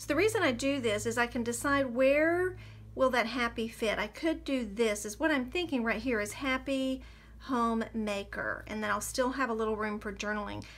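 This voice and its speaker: A woman with a normal speaking voice, fairly high in pitch, at a moderate pace. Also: ordinary pitch variation. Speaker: craft tutorial creator. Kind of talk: tutorial.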